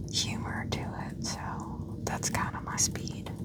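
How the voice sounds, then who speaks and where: Whispered speech over noticeable background noise. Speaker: ASMR gaming content creator. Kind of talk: ASMR whispered commentary. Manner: whispered, soft-spoken.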